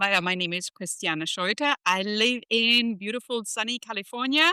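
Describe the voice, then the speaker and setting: A woman's fairly high, bright, sharp voice with a German accent, lively intonation, moderate pace, and a dry, close sound with no echo. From Germany. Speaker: leadership strategist and professor. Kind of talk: podcast interview.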